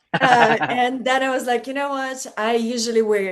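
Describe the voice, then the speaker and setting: This speaker talks at a fairly slow pace with a Russian accent. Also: woman. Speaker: model and stand-up comedian. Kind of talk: casual chat.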